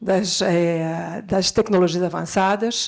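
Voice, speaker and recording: A woman speaks with a Brazilian accent. The recording is very clean, with a silent background. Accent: Brazilian Portuguese, somewhat rusty. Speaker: education technology executive, panelist. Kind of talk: conference panel talk. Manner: halting, many filler sounds.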